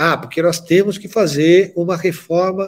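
A man speaks at a fairly slow pace. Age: 60s. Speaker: pharmaceutical industry executive. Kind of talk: interview.

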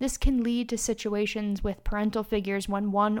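At a fairly quick pace, a woman with a fairly high pitch talks in an unremarkable speaking voice. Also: very clean recording, silent background. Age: 30s. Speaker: podcast host and charity founder. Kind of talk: solo advice podcast monologue.

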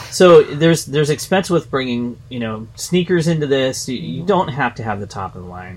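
With noticeable background noise behind him, a man talks at a fairly quick pace with hardly any pauses. His intonation is lively and his loudness swings widely. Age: 50s. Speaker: fitness podcast co-host. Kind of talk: casual chat.

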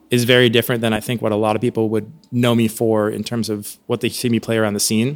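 A normal speaking voice with an American accent, fairly quick in pace and fairly even in intonation. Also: man. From Oregon, US. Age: 30s. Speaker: jazz trumpet player. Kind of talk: casual interview.

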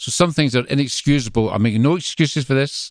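Fairly quick speech with ordinary pitch variation, in a strong Glasgow accent. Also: man. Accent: strong Glaswegian Scottish. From Scotland, Greenock near Glasgow. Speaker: visiting minister. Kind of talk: interview conversation.

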